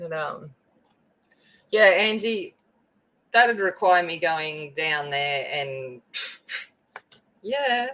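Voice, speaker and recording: A woman's fairly low voice in a strong Australian accent, very slow, with long, frequent pauses, very wide pitch swings, big swings in loudness and a bright, sharp tone. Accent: very broad Australian. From rural Australia (the bush, out west). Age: 40s. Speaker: craft livestreamer. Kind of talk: casual livestream chat while crafting. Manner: chatty, informal.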